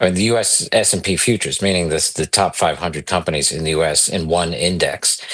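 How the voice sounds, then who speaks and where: Over noticeable background noise, a man with a very deep, low pitch speaks at a very fast pace with hardly any pauses and fairly even intonation. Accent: New York. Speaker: investment executive. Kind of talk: podcast interview.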